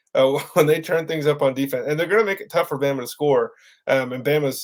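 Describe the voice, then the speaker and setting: A man's speech at a fairly quick clip. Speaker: sports podcast co-host. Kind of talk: casual sports podcast chat. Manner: fast.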